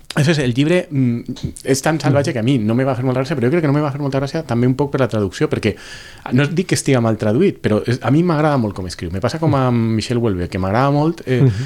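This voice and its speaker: Noticeable background noise sits behind a man who talks very fast. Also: medium pitch for a man, lively intonation. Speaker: podcast panelist. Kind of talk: casual chat.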